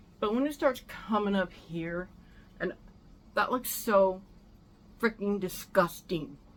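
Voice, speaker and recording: The woman talks at a moderate pace. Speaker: vlogger. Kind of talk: casual chat. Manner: loud; animated.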